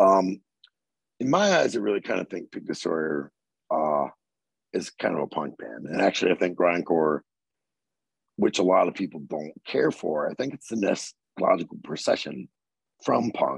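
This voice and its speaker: A man with an American accent speaks at a moderate pace, leaving long, frequent pauses. The sound is dry and close, with no echo. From Southern Maryland, US. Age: 40s. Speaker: metal vocalist. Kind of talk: casual interview chat.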